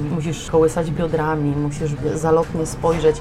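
Music plays behind a woman whose very deep, low pitch stays monotone and flat. She talks at a moderate pace, and the room echo is audible. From southern Poland, Limanowa near Nowy Sącz. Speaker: opera singer. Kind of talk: casual chat. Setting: café.

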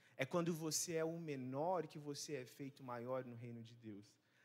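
The speaker is a man going at a fairly slow pace. His intonation stays fairly even. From Rondônia, Brazil. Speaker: missionary preacher. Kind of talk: sermon. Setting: church service. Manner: hesitant, many fillers.

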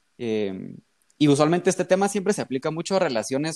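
Here a man has an unremarkable speaking voice with lively intonation. He talks at a moderate pace, and the sound is dry and close with no echo. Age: 20s. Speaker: medical student. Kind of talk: casual chat.

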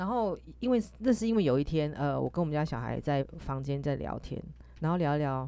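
A woman is speaking. Her pace is moderate. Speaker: podcast host. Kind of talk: casual chat. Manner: halting; animated.

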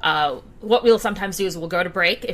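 A woman at a medium pitch and a fairly quick pace, with ordinary pitch variation and noticeable background noise. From Saudi Arabia, Indian family. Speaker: tabletop game master and streamer. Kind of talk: casual interview chat.

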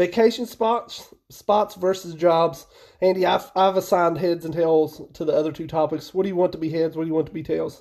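Fairly quick and high-pitched, a man talks in an Appalachian accent. His intonation stays fairly even. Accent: Appalachian American English. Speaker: podcast co-host. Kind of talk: casual chat. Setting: call.

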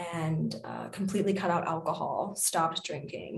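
A plain, everyday voice at a moderate pace. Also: woman. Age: 20s. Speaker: Reiki practitioner and DJ. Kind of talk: casual chat.

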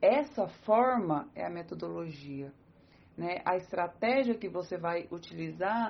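A woman speaks with a Brazilian accent at a fairly slow pace. Her pitch is medium and her intonation is lively. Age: 30s. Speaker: psychologist and teacher. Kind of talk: interview.

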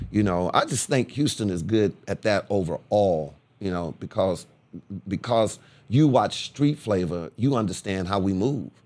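Using a normal speaking voice with an American accent, a man talks at a fairly slow pace with lively intonation. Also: fairly low pitch for a man. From Corpus Christi, Texas. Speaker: radio DJ and TV host. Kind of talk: casual interview.

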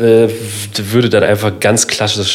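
Someone speaks at a very slow pace amid noticeable background noise. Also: man. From Lower Saxony, northern Germany. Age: 30s. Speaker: cultural centre manager. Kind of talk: casual chat.

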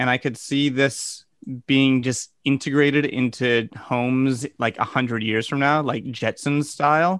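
A man speaks in a plain, everyday voice at medium pitch with fairly even intonation and very even loudness. The sound is dry and close with no echo, against a quiet background. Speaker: podcast co-host. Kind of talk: casual chat.

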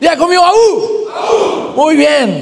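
The speaker sounds animated, with lively intonation. Crowd noise and audible room echo fill the background. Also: man. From Guatemala. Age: 20s. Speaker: pastor. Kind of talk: sermon.

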